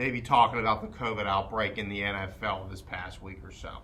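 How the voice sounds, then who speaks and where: A man with an American accent talks at a moderate pace, with audible room echo. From southwestern Pennsylvania, Charleroi. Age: 20s. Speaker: sports podcast co-host. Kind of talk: casual sports chat. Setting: podcast recording.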